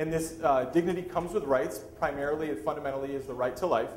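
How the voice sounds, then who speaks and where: A man with a fairly high pitch speaks at a very fast pace with ordinary pitch variation, and audible room echo can be heard. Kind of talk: lecture.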